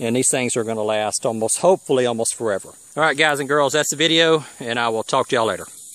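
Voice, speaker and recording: A very fast man's voice with an American accent, hardly any pauses and ordinary pitch variation, in dry sound with no echo over a quiet background. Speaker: homesteader vlogger. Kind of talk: casual how-to video. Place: garden. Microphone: phone near.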